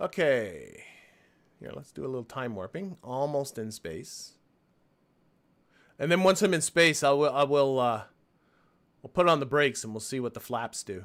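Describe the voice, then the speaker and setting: On a very clean recording with a silent background, a man speaks at a fairly high pitch and a moderate pace, with lively intonation, big swings in loudness, and long, frequent pauses. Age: 60s. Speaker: gaming live streamer. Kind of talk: live gameplay commentary. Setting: live stream. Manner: casual, thinking aloud.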